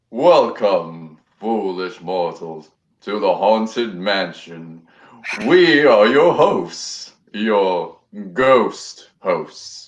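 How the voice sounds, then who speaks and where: A man puts on a character voice, pitched in the middle range and delivered very slowly. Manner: theatrical, eerie.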